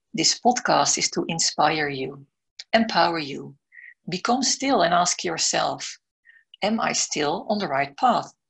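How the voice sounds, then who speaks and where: A woman with a Dutch accent uses lively intonation. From Netherlands. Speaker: podcast host, business mentor and coach. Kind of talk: scripted intro then interview.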